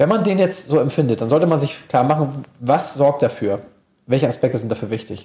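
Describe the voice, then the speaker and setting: This man's voice is somewhat breathy and fairly high in pitch. He moves at a fairly quick pace with lively intonation. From Hamburg, northern Germany. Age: 30s. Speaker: sports psychologist. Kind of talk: interview.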